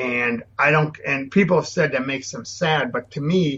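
A man talks at a moderate pace in an ordinary speaking voice, keeping fairly even intonation. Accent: American. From Minnesota. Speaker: landscape photographer, former photojournalist. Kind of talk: interview.

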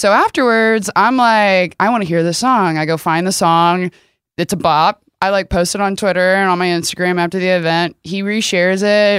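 A woman with an American accent and an ordinary speaking voice talks at a moderate pace in a medium pitch, with fairly even intonation and very even loudness, on a very clean recording with a silent background. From Texas, rural area near Rockwall. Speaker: content creator. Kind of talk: casual chat. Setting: studio.

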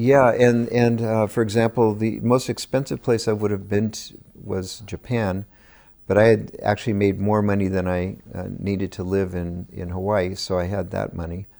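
A man with an American accent and an ordinary speaking voice, at a moderate pace with fairly even intonation, on a very clean recording with a silent background. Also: fairly low pitch for a man. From California (Gilroy). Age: 60s. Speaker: winemaker. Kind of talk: interview.

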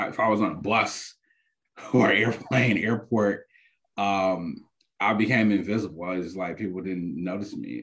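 A man speaks in a normal speaking voice at fairly low pitch. His pace is moderate. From Detroit, Michigan (west side). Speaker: public health professor. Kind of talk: casual interview.

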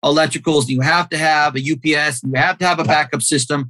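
Bright and sharp in tone, a man with an American accent and a fairly high pitch speaks with ordinary pitch variation. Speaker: commissioning director and part-time professor. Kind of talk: casual interview conversation.

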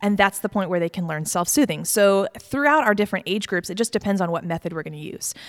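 Talking at a very fast pace with hardly any pauses, a woman with an American accent has a medium pitch and ordinary pitch variation, recorded with a dry, close sound and no echo. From Virginia, Mechanicsville. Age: 30s. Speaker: pediatric sleep consultant. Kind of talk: interview.

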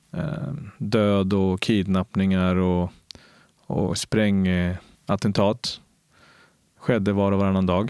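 At a very slow pace with long, frequent pauses, a man talks at a fairly low pitch with ordinary pitch variation. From Colombia, moved to Sweden at nine. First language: Spanish (speaking Swedish). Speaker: police officer. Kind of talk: interview. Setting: recorded at a cultural centre. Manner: animated.

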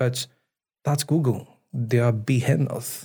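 A man speaks at medium pitch with fairly even intonation. His voice is somewhat breathy. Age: 30s. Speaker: chief product officer. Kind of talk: interview conversation. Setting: studio.

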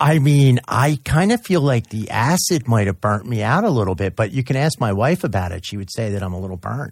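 Somewhat breathy, a man talks at a fairly quick pace with lively intonation and hardly any pauses. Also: medium pitch for a man. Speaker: radio co-host and addiction counselor. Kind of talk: casual radio talk.

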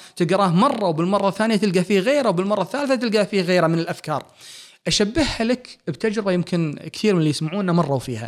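A man with a Kuwaiti accent talks at a fairly quick pace in a high voice. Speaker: physician and author. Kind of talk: interview conversation.

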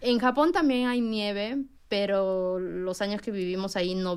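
At a fairly slow pace, a woman uses an ordinary speaking voice with ordinary pitch variation. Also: very clean recording, silent background. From Peru. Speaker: preschool teacher. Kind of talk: radio interview.

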